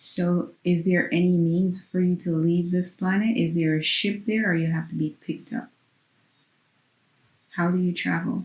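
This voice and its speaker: The voice is calm in tone and somewhat breathy, holding very even loudness and fairly even intonation at a moderate pace. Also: woman, fairly low pitch for a woman. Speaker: hypnosis practitioner guiding a session. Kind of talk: guided hypnosis questioning. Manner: calm, soft-spoken, encouraging.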